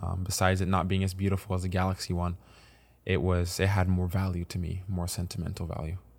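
A man with an American accent speaks very fast in a flat monotone at a very deep, low pitch. The recording is very clean, with a silent background. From US Midwest (Kansas City area), then Italy and France. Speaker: professional soccer striker. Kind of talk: casual interview.

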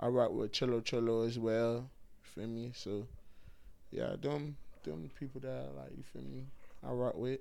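In an American accent, the speaker uses lively intonation at a moderate pace with long, frequent pauses, and room echo is audible. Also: man, medium pitch for a man. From Miami, Florida (Haitian family). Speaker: comedian. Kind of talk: casual interview.

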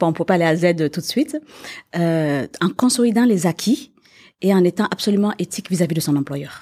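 The woman's pitch is fairly low, her tone dark and mellow, her intonation lively. The recording is very clean, with a silent background. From Quebec. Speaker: business owner. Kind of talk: interview.

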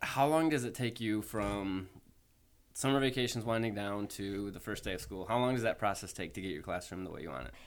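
A man speaks in an ordinary speaking voice with lively intonation. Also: fairly low pitch for a man, fairly quick pace. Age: 30s. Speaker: podcast host. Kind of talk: interview.

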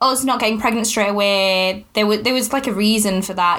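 The speech runs at a very fast pace with a Yorkshire accent. The intonation stays fairly even. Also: woman. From Yorkshire, northern England. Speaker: podcast host, new mother. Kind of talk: casual chat. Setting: home, baby napping in the room.

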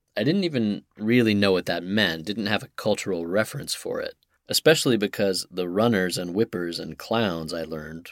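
A plain, everyday voice from a man with an American accent, fairly low in pitch, at a moderate pace with hardly any pauses and ordinary pitch variation, on a very clean, dry, close recording with no echo and a silent background. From US Southwest, Santa Fe, New Mexico. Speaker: podcast host. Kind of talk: narrated essay podcast.

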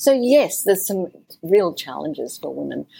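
Here a woman with an Australian accent speaks at a moderate pace. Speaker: mentor, speaker and author. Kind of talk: interview conversation.

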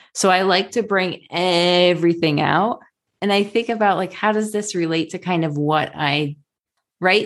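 Against a quiet background, a woman with a normal speaking voice and fairly low pitch talks at a moderate pace. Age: 40s. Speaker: health coach and outdoor guide. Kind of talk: casual chat.

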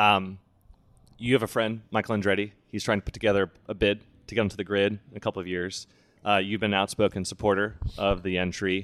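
Intonation stays monotone and flat as a man speaks in a fairly low pitch at a fairly quick pace. Long, frequent pauses break up his speech. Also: very clean recording, silent background. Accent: Midwestern US. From Indianapolis, US Midwest. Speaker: podcast host. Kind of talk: interview.

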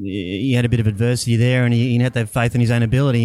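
A man talks at a very fast pace with fairly even intonation and a dark, mellow tone. The recording is very clean, with a silent background. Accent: Australian. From Australia, Brisbane. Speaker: financial planner. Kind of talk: casual interview. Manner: halting.

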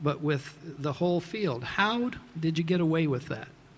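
A man with an unremarkable speaking voice talks at a moderate pace, his pitch fairly high with ordinary pitch variation. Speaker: venture capital investor, interviewer. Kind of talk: interview on stage, questioning an honoree. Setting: award ceremony with audience.

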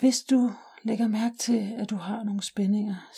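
A calm, soothing tone at a very slow pace. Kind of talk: guided meditation. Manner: slow, calm and soothing, with long pauses; soft-spoken, gentle and unhurried.

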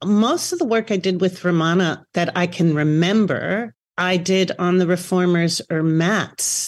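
The recording is very clean, with a silent background. A woman talks in a plain, everyday voice at a fairly low pitch with ordinary pitch variation. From US, New York City. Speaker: Pilates teacher. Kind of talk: interview.

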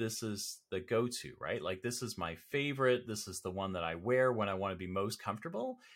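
A man with a Canadian accent, fairly low pitch, ordinary pitch variation and a moderate pace, in a very clean recording with a silent background. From Canada, Toronto area. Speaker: marketing consultant and professor. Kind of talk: casual interview.

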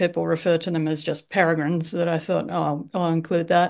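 A woman with an Australian accent speaks at a fairly low pitch with fairly even intonation. The background is quiet. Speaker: author and bird tour leader. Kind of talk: casual interview. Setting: remote call from Japan. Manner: hesitant, many fillers.

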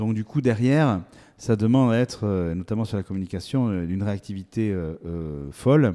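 The tone is dark and mellow, with ordinary pitch variation at a moderate pace. Long, frequent pauses break up the speech. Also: man, fairly low pitch for a man. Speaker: agricultural competition director, former TV presenter. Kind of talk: interview. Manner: halting, with frequent repetitions.

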